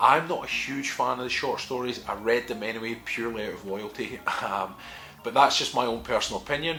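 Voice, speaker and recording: Someone with a Scottish accent talks at a fairly quick pace over music in the background. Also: man. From Scotland. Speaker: wargaming lore youtuber. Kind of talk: casual lore commentary to camera.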